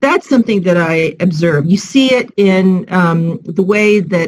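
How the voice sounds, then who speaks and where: Speaking with an American accent, a woman has a medium pitch and a somewhat breathy sound. Her intonation is lively. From United States. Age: 60s. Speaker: civil society professional. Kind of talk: panel discussion.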